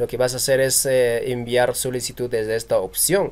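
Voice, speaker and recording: This man has an unremarkable speaking voice, a medium pitch and a moderate pace. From Peru. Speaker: YouTube tutorial creator. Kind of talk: tutorial. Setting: screen recording.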